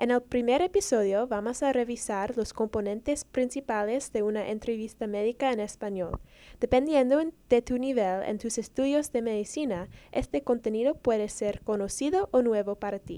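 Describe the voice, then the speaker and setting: In a very clean recording with a silent background, a woman with a fairly high pitch speaks at a moderate pace in a dark, mellow tone. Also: ordinary pitch variation. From Dominican heritage. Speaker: medical student, podcast co-host. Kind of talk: scripted introduction.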